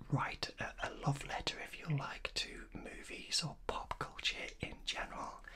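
A man whispers. His pace is very slow. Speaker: channel host. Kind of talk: casual vlog chat. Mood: warm, enthusiastic. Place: home room.

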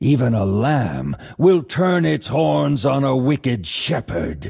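In a put-on character voice, the speaker moves slowly with big pitch swings, vocal fry, a slightly husky edge and a slightly mellow tone. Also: man, medium pitch for a man.

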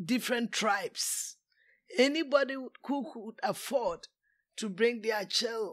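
In a very clean recording with a silent background, a woman with a Ghanaian accent speaks at a fairly high pitch and a fairly slow pace, with ordinary pitch variation. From Kumasi, Ghana. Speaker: retired teacher, immigrant elder. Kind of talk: interview answer.

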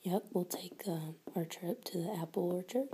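The speaker is soft-spoken, with a gentle tone. Noticeable background noise runs underneath. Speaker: teacher or tutor. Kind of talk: tutoring session questions to a child. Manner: soft-spoken gentle teacher voice. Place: home room. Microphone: phone near.

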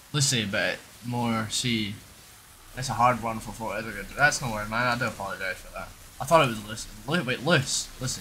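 A man talks at a fairly quick pace with a Scottish accent and big swings in loudness. Audible room echo and noticeable background noise fill the recording. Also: medium pitch for a man, ordinary pitch variation. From Scotland, Edinburgh. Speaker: video game streamer. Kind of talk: live-stream chat with gameplay. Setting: home room during live stream. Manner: casual, chatty.

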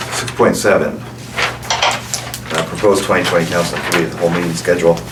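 A man with a Canadian prairie accent at a moderate pace, with noticeable background noise and audible room echo. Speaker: mayor chairing council meeting. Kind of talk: council meeting discussion. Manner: mumbling.

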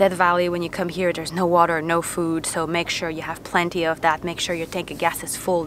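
A woman talks at a fairly quick pace, her pitch fairly low. The sound is dry with no echo, over light background noise. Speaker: travel vlogger. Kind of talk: casual vlog chat. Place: open country. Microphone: phone near.

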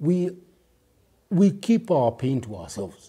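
A man speaks at a fairly slow pace in a dark, mellow tone that is somewhat breathy. His pitch swings very widely, and the background is quiet. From Kenya. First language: Kikuyu. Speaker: recovered addict and author; interview guest. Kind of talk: personal storytelling in interview. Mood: reflective, earnest. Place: studio. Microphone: lapel.

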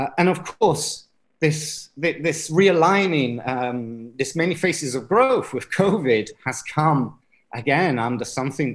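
Pitch varies in an ordinary way. A man speaks at a fairly slow pace. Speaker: conference presenter. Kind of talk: lecture. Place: home room. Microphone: webcam.

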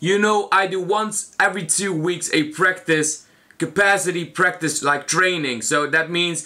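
Against a quiet background, a man projects his raised voice at a fairly slow pace. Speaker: food challenge vlogger. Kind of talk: casual vlog chat. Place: home room. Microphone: camera far.

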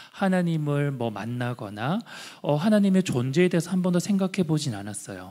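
A man's fairly high voice at a moderate pace, with very wide pitch swings and a quiet background. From Andong, North Gyeongsang, South Korea; South Korea. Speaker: social enterprise founder; guest. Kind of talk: testimony. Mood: warm, earnest storytelling. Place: hall. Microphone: handheld.

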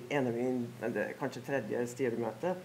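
A woman at a moderate pace over light background noise. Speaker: board chair, panelist; panelist. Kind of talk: panel debate. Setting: stage with audience. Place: hall. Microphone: headset.

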